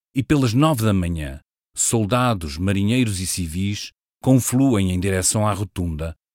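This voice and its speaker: Over a silent background in a very clean recording, a man speaks fairly slowly with a European Portuguese accent. His pitch is fairly low and his intonation lively. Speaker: podcast writer and narrator. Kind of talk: scripted narration. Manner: formal.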